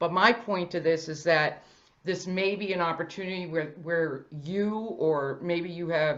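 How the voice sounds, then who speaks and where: An unremarkable speaking voice with an American accent moves at a fairly slow pace, keeping its intonation fairly even. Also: woman, fairly low pitch for a woman. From Boston. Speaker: financial industry presenter. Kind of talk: presentation. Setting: virtual event.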